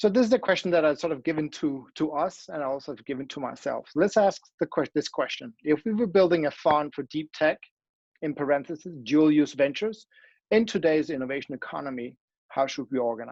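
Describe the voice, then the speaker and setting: Someone with a Danish accent talks at a fairly quick pace against a quiet background. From Denmark. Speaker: academic. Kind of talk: conference talk with slides. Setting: online event. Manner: halting, many fillers and restarts.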